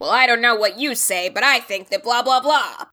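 Putting on a gruff character voice, a woman speaks at a high pitch and a moderate pace. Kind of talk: audiobook narration.

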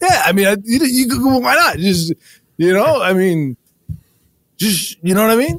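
A man's put-on character voice, high-pitched and fairly bright in tone, with big pitch swings and a fairly slow pace.

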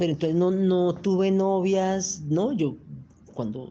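The voice is a woman's, pitched fairly low. It has a dark, mellow tone. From Colombia, Manizales. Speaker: lawyer and LGBT rights activist. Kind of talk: interview storytelling.

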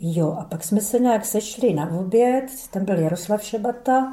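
A woman with a plain, everyday voice at medium pitch, moderate in pace, with ordinary pitch variation. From Czechia, Brno (South Moravia). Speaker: former dissident, eyewitness. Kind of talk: oral history testimony. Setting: archive interview recording.

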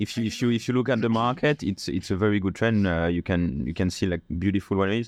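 Against a quiet background, a man with a fairly low voice talks at a very fast pace with hardly any pauses, very even loudness and ordinary pitch variation. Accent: French. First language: French. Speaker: sommelier and wine importer. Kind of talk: casual interview chat. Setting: studio.

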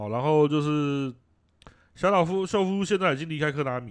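At a moderate pace, a man uses lively intonation in an unremarkable speaking voice. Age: middle-aged. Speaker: video game podcast co-host. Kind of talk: casual chat.

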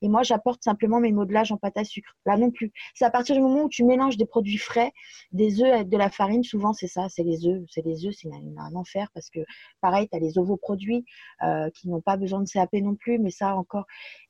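Somewhat breathy and dark, mellow in tone, a woman's voice comes through dry and close with no echo. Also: medium pitch for a woman, ordinary pitch variation, fairly quick pace. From France. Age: 30s. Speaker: aspiring cake designer. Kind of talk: interview conversation.

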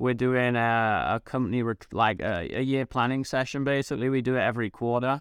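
On a very clean recording with a silent background and dry, close sound with no echo, a man with an English accent talks fairly quickly at a medium pitch, with hardly any pauses, fairly even intonation and very even loudness. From England, small town. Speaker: entrepreneur and marketing expert. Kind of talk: interview.

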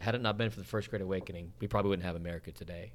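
This man's voice is very deep and low in pitch, carries vocal fry, and shows ordinary pitch variation. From Utah, Salt Lake City. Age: 40s. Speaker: evangelist. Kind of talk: casual chat.

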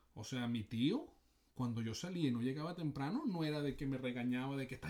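A man talks in a normal speaking voice at medium pitch. His pace is fairly quick and his intonation lively. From Venezuela. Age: 40s. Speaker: sports psychology coach. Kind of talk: casual chat.

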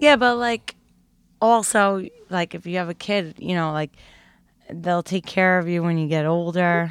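Leaving long, frequent pauses, a woman with a New York accent and a fairly low pitch talks at a fairly slow pace with ordinary pitch variation. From Brooklyn, New York. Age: 30s. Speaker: stand-up comedian. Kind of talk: casual chat.

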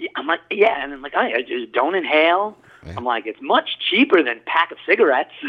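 A man speaks at a fairly quick pace with a Long Island accent. His loudness swings widely. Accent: Long Island New York. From Long Island, New York. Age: 40s. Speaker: pipe maker. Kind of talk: interview. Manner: halting, many fillers.

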